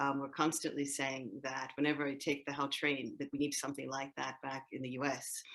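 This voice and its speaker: A woman speaks at a fairly quick pace with an American accent. Her pitch is very deep and low for a woman, and her intonation is monotone and flat. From United States. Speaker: podcast host. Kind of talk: interview.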